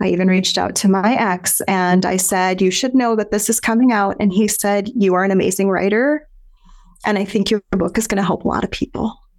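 A woman with an American accent speaks at medium pitch and a moderate pace, her pitch varying in an ordinary way and her loudness very even. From US Midwest, South Dakota. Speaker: author, speaker and business owner. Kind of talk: interview conversation.

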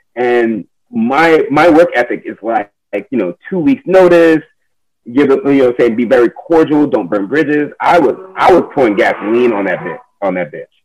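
With an ordinary speaking voice, a man talks at a moderate pace in a fairly high pitch, his intonation lively. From United States, child of immigrants. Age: 30s. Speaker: community cycling organizer. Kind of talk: casual interview.

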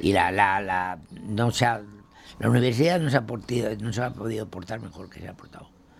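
Through noticeable background noise, a man with a fairly low pitch speaks at a moderate pace. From Castile, Spain (Burgos). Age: 90s. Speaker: retired printer. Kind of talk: interview. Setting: at his home. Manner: halting.

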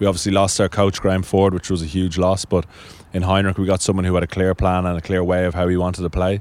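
Very fast and monotone, with flat intonation, a man with a Dublin accent talks in a very deep, low voice. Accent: Dublin Irish. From Ireland, Dublin (Sandymount). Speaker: national cricket team captain. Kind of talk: interview.

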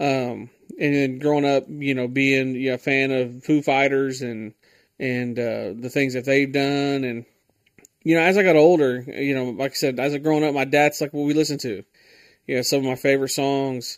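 Over a very clean recording with a silent background, a man talks in an ordinary speaking voice. His pitch is fairly high, his pace moderate and his intonation fairly even. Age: 20s. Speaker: podcast host. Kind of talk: casual solo podcast monologue. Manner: casual, filler-heavy.

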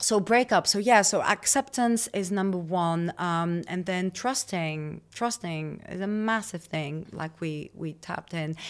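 On a very clean recording with a silent background, a woman with a plain, everyday voice speaks at a fairly slow pace, her fairly low pitch showing ordinary pitch variation. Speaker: holistic women's coach. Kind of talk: interview.

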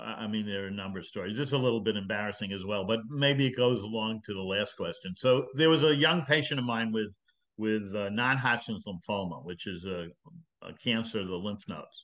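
A man with a plain, everyday voice talks at a fairly low pitch with ordinary pitch variation. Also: fairly quick pace. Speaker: retired physician. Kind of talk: interview.

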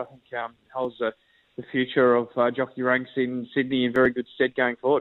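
A man speaks with an Australian accent. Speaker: racing analyst. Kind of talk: radio interview.

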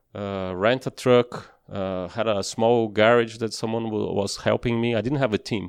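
A man speaks with a Portuguese accent at medium pitch and a moderate pace. The sound is dry and close, with no echo. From Brazil. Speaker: former racing driver. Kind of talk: interview. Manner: halting.

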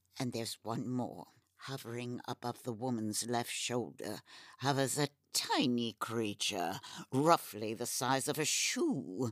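The voice sits at a low-to-middle pitch and moves at a fairly slow pace. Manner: ornate, haughty.

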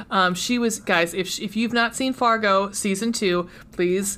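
Her medium-pitched, unremarkable speaking voice shows ordinary pitch variation as the woman talks at a fairly slow pace. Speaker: podcast host. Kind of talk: casual chat. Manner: self-deprecating, joking.

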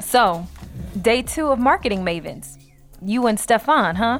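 Music plays in the background as a woman speaks at a fairly slow pace. Her pitch is fairly high and her intonation lively. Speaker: character in a scripted comedy podcast. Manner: teasing, playful.

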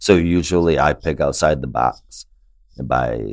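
In a very deep, low voice with vocal fry, a man speaks with ordinary pitch variation. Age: 40s. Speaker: comic book podcast host. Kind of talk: casual chat. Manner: animated.

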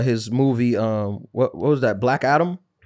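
A man's plain, everyday voice with an American accent, lively intonation and a moderate pace, in a very clean recording with a silent background. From New York. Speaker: comedian and podcast host. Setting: studio.

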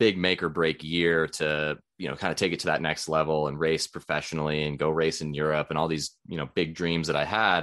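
Against a quiet background, the speaker moves along at a fairly quick pace. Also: man. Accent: Western US. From Idaho, US. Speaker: nutrition consultant and endurance sports coach. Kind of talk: casual interview chat.

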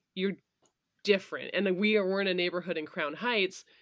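With an American accent, a woman speaks in fairly even intonation, recorded very cleanly against a silent background. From Vermont, US. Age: 30s. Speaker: bartender and bar owner. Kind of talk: casual chat.

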